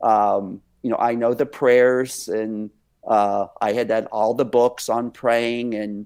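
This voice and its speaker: A man with an American accent speaks at a very slow pace in a monotone, flat intonation. The recording is very clean, with a silent background. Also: medium pitch for a man. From Texas. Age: 60s. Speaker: dance company director and minister. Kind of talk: interview testimony. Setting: podcast interview.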